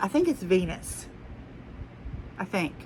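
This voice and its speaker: A woman with an American accent speaks in very wide pitch swings against noticeable background noise. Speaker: haul vlogger. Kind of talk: casual chat. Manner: rambling, conversational.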